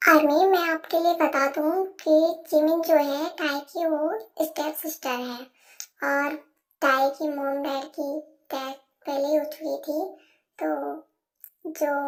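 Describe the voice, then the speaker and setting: A woman at a high pitch with monotone, flat intonation, a moderate pace, and long, frequent pauses. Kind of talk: casual Hinglish fan-fiction narration. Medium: read story. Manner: chatty, mixes English words.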